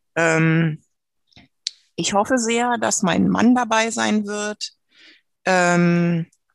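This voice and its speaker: Against a quiet background, a woman speaks in a fairly low pitch with ordinary pitch variation. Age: 50s. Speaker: trained nurse with terminal breast cancer. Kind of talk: personal testimony in interview.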